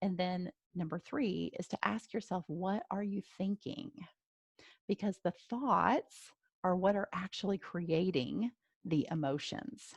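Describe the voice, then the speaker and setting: A woman speaks at a medium pitch with lively intonation, somewhat breathy. Her pace is fairly slow, and the sound is dry and close, with no echo. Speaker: life coach. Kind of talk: webinar presentation. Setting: live webinar.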